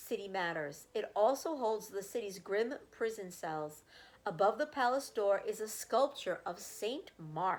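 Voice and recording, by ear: Reading aloud in a natural voice, the intonation lively throughout.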